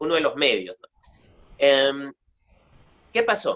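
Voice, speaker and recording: The sound is dry and close, with no echo. A man speaks at a moderate pace. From Peru. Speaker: oral storyteller and writer. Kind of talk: interview answer.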